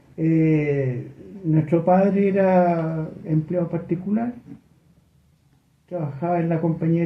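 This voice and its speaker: A man with a high voice talks at a fairly slow pace, his pitch varying in an ordinary way. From Chile, Santiago (Ñuñoa). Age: 70s. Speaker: HIV activist. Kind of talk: radio interview.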